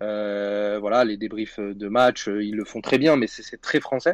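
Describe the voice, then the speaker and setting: With a dry, close sound, no echo and a quiet background, a plain, everyday voice speaks at a moderate pace with fairly even intonation. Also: man. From Paris region (Saint-Denis). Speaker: football media co-founder. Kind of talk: podcast interview and debate.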